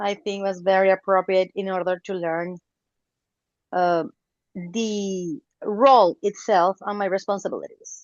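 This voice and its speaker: A woman with a non-native accent talks at a fairly slow pace and medium pitch, with fairly even intonation. She leaves long, frequent pauses. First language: not English. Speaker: club member. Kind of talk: self-introduction in meeting.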